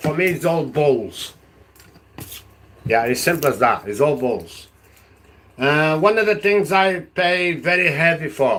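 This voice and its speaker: A man with a Portuguese accent speaks fairly slowly, with long, frequent pauses. His pitch is fairly high and his intonation lively. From Portugal. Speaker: political vlogger. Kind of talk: live stream monologue. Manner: halting; animated.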